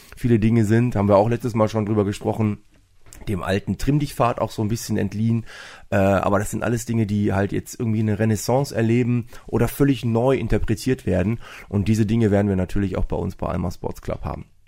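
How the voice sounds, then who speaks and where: On a very clean recording with a silent background, a man talks at a very fast pace in a fairly low pitch with a dark, mellow tone. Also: fairly even intonation. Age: 40s. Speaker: fitness club owner and sports teacher. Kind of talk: casual interview. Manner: hesitant with many fillers.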